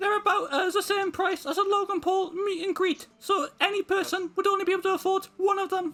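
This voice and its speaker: A man speaks in a squeaky, put-on character voice. His pace is fairly quick, with hardly any pauses. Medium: game stream.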